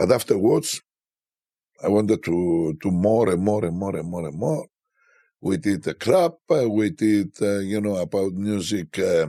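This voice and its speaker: Speaking with a Greek accent, a man uses a dark, mellow tone, lively intonation and a fairly slow pace on a very clean recording with a silent background. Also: fairly low pitch for a man. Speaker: DJ. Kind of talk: interview. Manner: halting.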